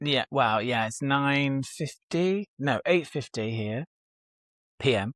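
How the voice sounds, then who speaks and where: A man with a British accent, a fairly high pitch, ordinary pitch variation and a very slow pace, in a dry, close sound with no echo. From UK. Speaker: aspiring novelist. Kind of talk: casual chat. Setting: video call.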